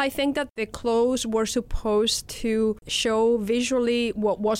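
This woman has a Spanish accent and a fairly high pitch. She talks at a fairly slow pace. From Spain. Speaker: professor. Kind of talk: casual interview.

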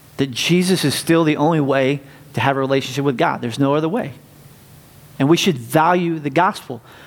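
Audible room echo surrounds a man talking fairly quickly with an American accent, his fairly high voice showing ordinary pitch variation. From US South, North Carolina. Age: 40s. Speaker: pastor. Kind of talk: sermon. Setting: church.

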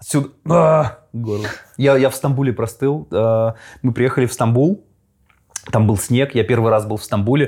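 A man speaks at a fairly slow pace in an unremarkable speaking voice, medium in pitch with ordinary pitch variation, on a very clean recording with a silent background. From Russia. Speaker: podcast host. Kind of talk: casual interview. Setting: studio.

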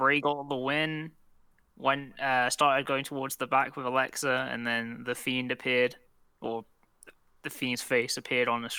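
With a London accent, a man speaks at a moderate pace in a bright, sharp tone, his medium pitch held in a flat monotone. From southwest London. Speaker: podcast co-host. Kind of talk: casual chat.

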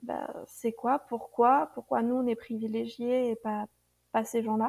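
A woman's fairly high-pitched, dark and mellow voice at a fairly slow pace, with fairly even intonation. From France, Burgundy. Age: 30s. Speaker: expatriate. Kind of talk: interview. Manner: halting.

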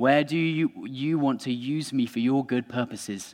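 Against a quiet background, a man with a plain, everyday voice speaks at a moderate pace with fairly even intonation. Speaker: preacher. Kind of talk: sermon. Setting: church. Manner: informal, humorous.

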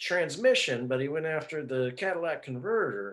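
This man's pitch swings very widely. He speaks at a fairly slow pace. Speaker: fantasy football league member and co-host. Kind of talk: casual chat.

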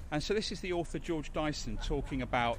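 A man speaks at a fairly quick pace with lively intonation. He has a slight London accent. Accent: London, slightly geezerish. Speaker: podcast host. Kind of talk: casual chat. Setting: studio.

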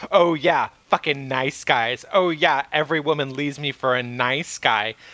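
This is a whiny, put-on character voice. It moves at a moderate pace. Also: man, fairly high pitch for a man. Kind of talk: casual, crude. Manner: mocking, bitter, whiny.

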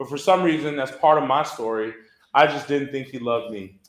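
Audible room echo surrounds speech in an American accent with ordinary pitch variation. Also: man. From Texas, Southwest Houston. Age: 30s. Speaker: church ministry staff. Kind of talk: testimony. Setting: church luncheon with audience.

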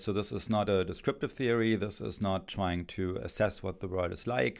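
A man with a German accent at a moderate pace. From Germany. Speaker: philosophy professor. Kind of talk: interview answers, academic explanation. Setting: studio. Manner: hesitant, many filler words.

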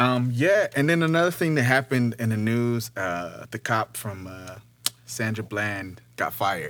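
A man with an American accent has a plain, everyday voice at medium pitch. He speaks fairly slowly, with lively intonation. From Detroit. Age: 20s. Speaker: podcast host and rapper. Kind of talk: casual chat.

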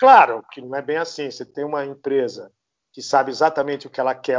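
A man's fairly high voice at a very fast pace. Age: 60s. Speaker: architect. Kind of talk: casual interview.

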